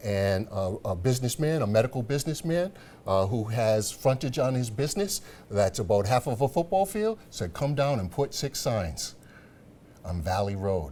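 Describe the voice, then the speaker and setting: A man speaks at a moderate pace with a medium-pitched, dark, mellow and somewhat breathy tone, his pitch swinging very widely. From Rhode Island, Providence. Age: 60s. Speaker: political candidate. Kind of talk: TV interview.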